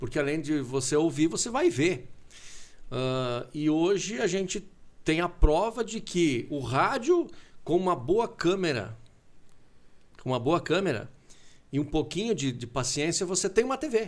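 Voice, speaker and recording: A man talks at a fairly slow pace with a high pitch, very wide pitch swings, and long, frequent pauses. The recording is very clean, with a silent background. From southern Brazil (Concórdia, Santa Catarina). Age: 40s. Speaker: radio broadcaster. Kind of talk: casual interview chat. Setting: TV studio.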